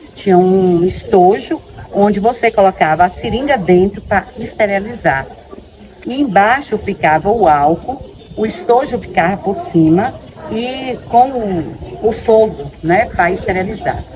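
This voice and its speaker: A woman at a medium pitch, lively intonation and a fairly slow pace over noticeable background noise. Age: 50s. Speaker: teacher giving testimony. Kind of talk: testimony.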